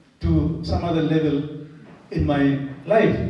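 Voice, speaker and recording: A speaker with a Keralan accent talks at a very slow pace. Noticeable background noise runs underneath. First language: Malayalam. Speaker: priest lecturer. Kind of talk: lecture.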